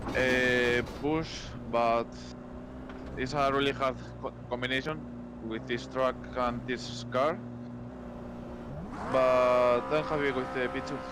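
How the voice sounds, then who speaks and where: With a Spanish accent, a man speaks at a very slow pace with long, frequent pauses, amid noticeable background noise and audible room echo. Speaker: sim racing driver. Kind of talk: post-race interview. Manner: halting.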